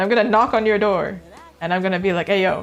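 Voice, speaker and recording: A woman with a Canadian accent speaks in an animated tone. Music plays in the background. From Canada. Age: 30s. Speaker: art streamer. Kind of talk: casual chat. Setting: voice call on live stream.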